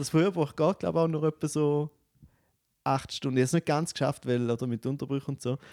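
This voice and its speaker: In a very clean recording with a silent background and a dry, close sound with no echo, a man speaks very fast at a fairly high pitch, with a dark, mellow tone and ordinary pitch variation. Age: 30s. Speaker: comedian. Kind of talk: casual chat. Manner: animated.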